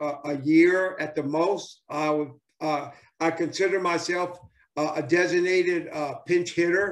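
In a Southern US accent, a man speaks at a high pitch and a fairly slow pace with monotone, flat intonation against a quiet background. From US South. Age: 70s. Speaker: former professional baseball player. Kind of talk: interview. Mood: enthusiastic, nostalgic. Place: home room. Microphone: video call.

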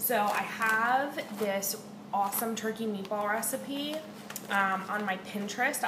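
As noticeable background noise carries on, a woman talks. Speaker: home vlogger. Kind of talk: casual vlog chat. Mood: relaxed, chatty, occasional swearing. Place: kitchen. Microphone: webcam.

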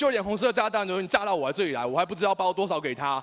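A man with a strong Taiwanese accent, high-pitched for a man, very fast and with lively intonation, over a quiet background. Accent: strong Taiwanese and Hokkien-tinged Mandarin. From Taiwan, Taipei. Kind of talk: speech. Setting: stage with audience. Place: hall. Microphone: handheld.

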